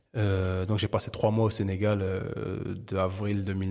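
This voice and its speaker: With a dark, mellow tone and a fairly low pitch, a man speaks at a fairly slow pace in monotone, flat intonation. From Paris, France (13th arrondissement). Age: 30s. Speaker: bookseller, entrepreneur. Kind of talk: podcast interview. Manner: hesitant, many repetitions and fillers.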